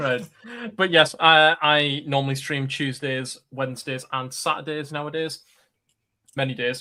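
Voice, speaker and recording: In a Geordie accent, the voice has a bright, sharp tone and monotone, flat intonation at a fairly slow pace. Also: man, fairly high pitch for a man. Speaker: streamer. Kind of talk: casual chat.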